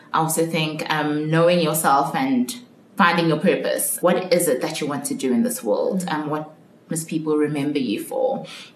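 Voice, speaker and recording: A woman's very deep, low voice with lively intonation at a moderate pace, amid audible room echo and noticeable background noise. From South Africa, Johannesburg. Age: 20s. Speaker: marketing consultant. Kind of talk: casual interview.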